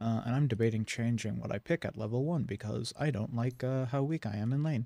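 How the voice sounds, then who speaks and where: The speaker talks softly at a fairly quick pace, with ordinary pitch variation. The sound is dry and close, with no echo. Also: man. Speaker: gaming streamer. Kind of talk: live game commentary. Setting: live stream at home computer. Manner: soft-spoken; casual, rambling with filler hums.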